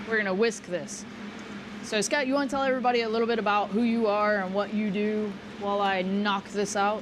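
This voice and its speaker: Someone talks with an American accent at a fairly quick pace and very even loudness. Audible room echo and noticeable background noise surround the voice. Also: woman, fairly high pitch for a woman, fairly even intonation. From Texas. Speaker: chef. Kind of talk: cooking demonstration. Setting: live event at a restaurant.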